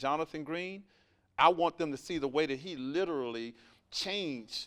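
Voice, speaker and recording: Over a silent background on a very clean recording, the speaker talks at a moderate pace in a Southern US accent, the tone animated and the pitch varying in an ordinary way. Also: man. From US South, Alabama. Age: 40s. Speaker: entrepreneur and mentor. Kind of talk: podcast interview.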